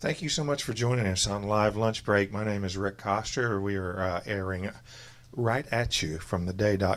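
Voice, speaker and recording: A man with a slight Southern US accent, fairly slow pace and ordinary pitch variation. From US South. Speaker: radio host. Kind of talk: live interview show. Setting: record store, live audience.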